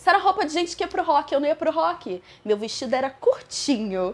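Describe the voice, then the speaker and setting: Her pitch swinging very widely, a woman speaks at a very fast pace. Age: young. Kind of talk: interview answer.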